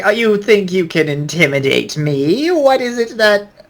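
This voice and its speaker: A cackling, put-on character voice from a man, high-pitched and at a moderate pace. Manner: defiant, mocking.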